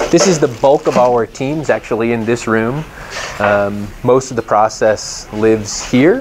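A man speaks at a moderate pace, his pitch varying in an ordinary way, with light noise behind him. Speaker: factory guide. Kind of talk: tour explanation. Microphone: lapel.

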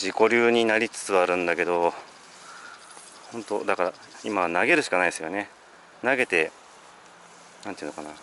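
A man's plain, everyday voice with ordinary pitch variation, a fairly quick pace, light background noise and a dry sound with no echo. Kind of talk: casual vlog chat. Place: waterside. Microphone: phone near.

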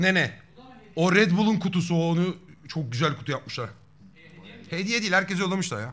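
Here a man talks at a fairly quick pace with a high pitch. His intonation is lively. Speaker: streamer. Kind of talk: casual live stream chat. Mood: playful, joking with friends. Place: home room.

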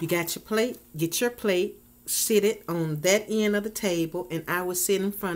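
A woman's speech has ordinary pitch variation and moves at a moderate pace. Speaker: food vlogger. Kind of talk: casual vlog chat. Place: home room. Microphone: webcam.

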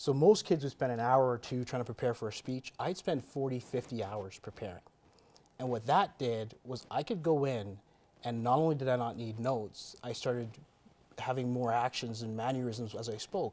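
A man speaks at a moderate pace with a medium pitch. His pitch variation is ordinary. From Canada. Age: 30s. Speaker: entrepreneur and real estate investor; interview guest. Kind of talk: interview. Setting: studio. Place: studio.

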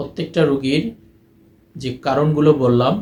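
Audible room echo surrounds a man's slightly mellow voice at medium pitch, moderate pace and ordinary pitch variation.

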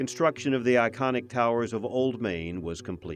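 Against music in the background, a man speaks with lively intonation. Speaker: narrator. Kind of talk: documentary narration.

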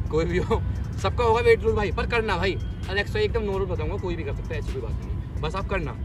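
A man talks at a very fast pace. The sound is dry with no echo, and clear music plays in the background. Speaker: fitness vlogger. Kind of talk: casual vlog chat. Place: open country. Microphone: phone near.

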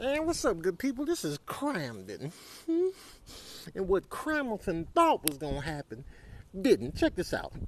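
A man puts on a high-pitched character voice and delivers it at a fairly slow pace. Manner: cocky, hyped, gloating.

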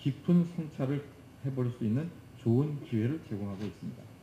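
A man speaks at a moderate pace in a somewhat breathy voice with a dark, mellow tone and ordinary pitch variation. There is audible room echo and light background noise. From South Korea. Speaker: corporate executive; presenter. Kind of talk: prepared presentation. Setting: conference stage with audience. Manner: formal. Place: hall. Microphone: podium.

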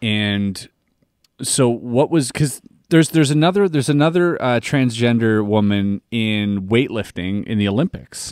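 With a quiet background and a dry sound with no echo, a man talks at a moderate pace with lively intonation. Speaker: podcast co-host. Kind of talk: casual podcast conversation. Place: studio. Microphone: studio mic.

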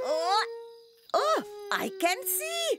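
A woman puts on a cartoonish character voice at an extremely high pitch, fairly bright in tone, with big pitch swings. She speaks very slowly over faint background music.

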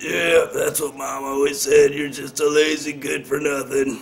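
Putting on a raspy character voice, a man speaks at a moderate pace and fairly high pitch, with big swings in loudness. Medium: audio drama. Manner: erratic, rambling.

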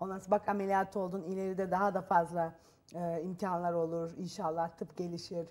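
Her tone comes across as dark and mellow. The woman keeps a moderate pace. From Turkey. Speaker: talk show guest. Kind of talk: TV talk show interview. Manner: halting, with fillers. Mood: calm, reflective. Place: studio. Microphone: lapel.

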